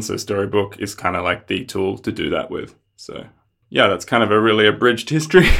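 On a very clean recording with a silent background, a man with an Australian accent talks very fast at a medium pitch with ordinary pitch variation. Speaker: software developer. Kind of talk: casual interview.

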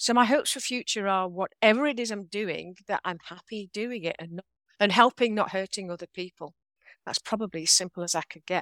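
Talking at a fairly quick pace with big swings in loudness, a woman speaks with an English accent. The sound is dry and close, with no echo. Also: medium pitch for a woman, ordinary pitch variation, very clean recording, silent background. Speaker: author and leadership trainer. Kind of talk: interview conversation.

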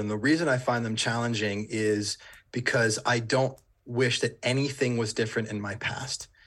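Captured in a very clean recording with a silent background, a man speaks at a medium pitch. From Rhode Island, US. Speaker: business coach. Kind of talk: podcast interview. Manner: animated.

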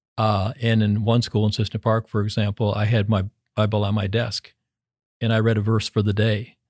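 In a dry, close sound with no echo and a very clean, silent background, a man with a fairly low pitch speaks in a flat monotone at very even loudness. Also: moderate pace. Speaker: education dean. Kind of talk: interview.

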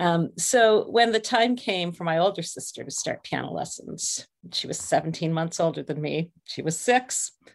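A woman with an Ontario accent speaks at a fairly low pitch and moderate pace with lively intonation. Her loudness swings widely, and she leaves hardly any pauses. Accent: Canadian (Ontario). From Canada, Ontario (St. Catharines). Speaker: music education director and piano teacher. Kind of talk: interview.

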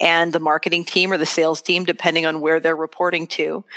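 This is a woman speaking. Her pitch sits fairly low. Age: 40s. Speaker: business founder and CEO. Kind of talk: interview. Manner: articulate.

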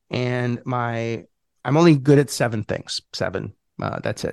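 A man talks in a plain, everyday voice at medium pitch, with ordinary pitch variation. The sound is dry and close with no echo, over a quiet background. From Montreal, Canada. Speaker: real estate investor and coach. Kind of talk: interview. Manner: casual, filler-heavy.

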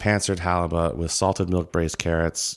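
Here a man speaks with a very deep, low pitch and fairly even intonation. The recording is very clean, with a silent background. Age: 40s. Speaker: chef and TV host. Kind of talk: casual chat.

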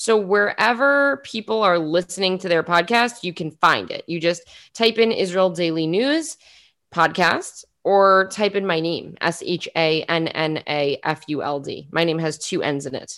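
In a very clean recording with a silent background, a woman with a New York accent speaks fairly slowly at a medium pitch with lively intonation. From New York City (Queens). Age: 20s. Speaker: journalist and podcaster. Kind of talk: interview.

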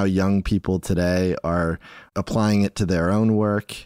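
A man speaks with a dark, mellow tone in a very clean recording with a silent background and a dry, close sound with no echo. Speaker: podcast host. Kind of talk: interview.

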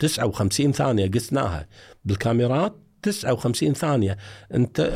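In a very clean recording with a silent background, a man speaks at a medium pitch in a somewhat breathy voice with ordinary pitch variation. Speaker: retired forensic evidence expert. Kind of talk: interview.

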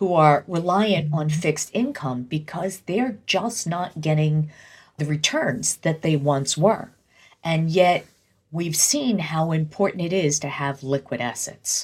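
A somewhat breathy voice speaks at a fairly slow pace on a very clean recording with a silent background. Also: woman, very deep, low pitch for a woman, ordinary pitch variation. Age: 60s. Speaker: retirement planning expert. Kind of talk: interview.

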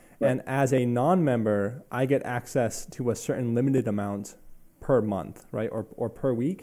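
A man at medium pitch with ordinary pitch variation speaks in a dark, mellow tone. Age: 30s. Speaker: podcast host. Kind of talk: interview.

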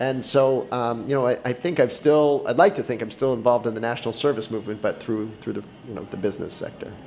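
Noticeable background noise accompanies a man talking at a very fast pace with hardly any pauses. His pitch is medium, with ordinary variation. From Boston, US. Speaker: entrepreneur. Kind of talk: interview. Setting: studio.

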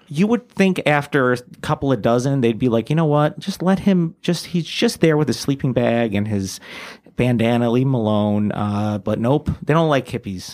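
A man with an American accent speaks in a plain, everyday voice at a medium pitch and moderate pace, with lively intonation. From New York area (born New Jersey). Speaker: comedian. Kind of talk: casual chat.

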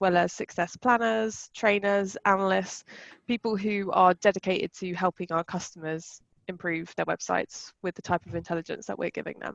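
A woman talks at a moderate pace and medium pitch in an ordinary speaking voice, with fairly even intonation. The sound is dry and close with no echo, over a quiet background. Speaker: customer success executive. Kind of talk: casual interview chat.

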